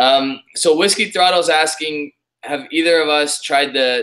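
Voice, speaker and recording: In an Ontario accent, a man talks at a fairly slow pace with a bright, sharp tone. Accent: Canadian English, Ontario. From Canada. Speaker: whisky YouTuber. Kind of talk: casual chat.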